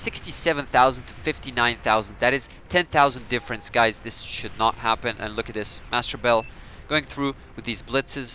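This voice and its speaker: Against noticeable background noise, a man at medium pitch talks at a moderate pace with ordinary pitch variation and big swings in loudness. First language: Serbian. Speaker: gaming commentator. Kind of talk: live game commentary. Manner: animated.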